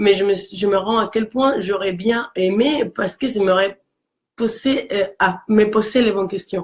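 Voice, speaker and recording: A woman's medium-pitched voice at a fairly slow pace, with a Mexican accent. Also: fairly even intonation. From Mexico. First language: Spanish (speaking French). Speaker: career coach. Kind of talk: casual chat. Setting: live video stream.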